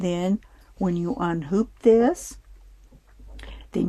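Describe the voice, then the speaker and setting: A woman speaks at a very slow pace with a medium pitch. Her tone is dark and mellow, and her pitch varies in an ordinary way. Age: 70s. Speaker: sewing and embroidery tutorial maker. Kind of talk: tutorial. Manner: casual, halting with fillers.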